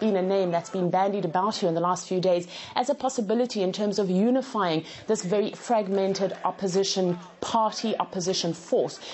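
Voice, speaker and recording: Through light background noise, a woman speaks at a fairly quick pace with very even loudness and ordinary pitch variation. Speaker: field correspondent. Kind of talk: news report.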